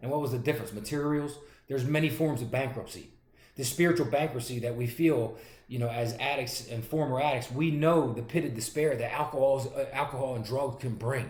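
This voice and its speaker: In a Philadelphia accent, a man speaks fairly quickly at a medium pitch, somewhat breathy and with fairly even intonation, amid audible room echo. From Pennsylvania, Pottstown and North Philadelphia. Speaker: pastor and recovery advocate. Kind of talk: testimony. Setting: recorded video. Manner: fast.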